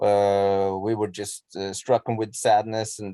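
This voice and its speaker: On a very clean recording with a silent background and a dry, close sound with no echo, a man with a Norwegian accent speaks at a moderate pace in a fairly low, dark, mellow voice with monotone, flat intonation. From Norway. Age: 40s. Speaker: musician. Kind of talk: interview. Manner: halting, many repetitions and fillers.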